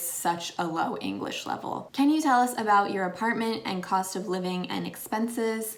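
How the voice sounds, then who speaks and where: Speaking with an American accent, the voice is an unremarkable speaking voice with ordinary pitch variation. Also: woman. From Pennsylvania, USA. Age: 20s. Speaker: former English teacher in Japan. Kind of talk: casual talk to camera.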